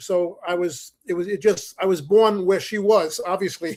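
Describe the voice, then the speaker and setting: The speaker has a New York accent. The intonation is monotone and flat. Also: man. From US Northeast, the Bronx, New York. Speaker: musician, saxophonist. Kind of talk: interview.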